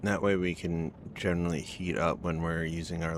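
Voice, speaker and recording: The speaker mumbles at a moderate pace in a monotone, flat intonation. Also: man. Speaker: video game streamer. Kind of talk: live gameplay commentary. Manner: mumbling.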